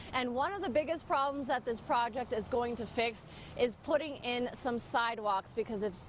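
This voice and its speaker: A high-pitched woman speaks while noticeable background noise carries on behind her. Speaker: TV news reporter. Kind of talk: TV news reporter stand-up and voiceover. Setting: outdoors, on location. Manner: casual, conversational.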